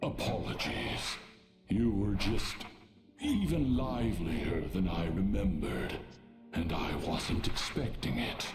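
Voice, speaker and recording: Over clear background music with a slight echo, a man puts on a character voice with a very deep, low pitch, speaking at a fairly slow pace. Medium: video game.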